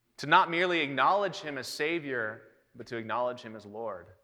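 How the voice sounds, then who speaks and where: A man speaks at a fairly quick pace with a fairly high pitch and ordinary pitch variation. His tone is bright and sharp. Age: 30s. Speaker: preacher. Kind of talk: sermon. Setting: church.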